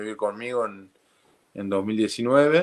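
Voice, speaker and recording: Over a quiet background, a man talks at a very slow pace. He speaks with an Argentine accent. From Argentina, Santiago del Estero. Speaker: professional rugby player. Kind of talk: casual chat. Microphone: video call.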